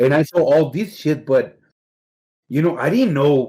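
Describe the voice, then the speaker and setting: In a Mexican accent, a man speaks fairly slowly with a dark, mellow tone. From Mexicali, Mexico; moved to Pico Rivera, California at 13. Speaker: fighting game player. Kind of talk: casual interview chat.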